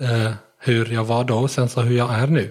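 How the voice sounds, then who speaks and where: This man speaks with a non-native accent. His voice is somewhat breathy. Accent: near-native Swedish. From Syria. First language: Arabic (speaking Swedish). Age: 20s. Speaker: blind rider. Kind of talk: interview. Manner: halting.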